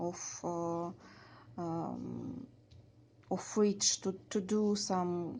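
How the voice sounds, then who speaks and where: A woman with a Russian accent speaks at a very slow pace in a fairly low voice. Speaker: beading craft tutor. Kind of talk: tutorial. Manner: halting, many fillers.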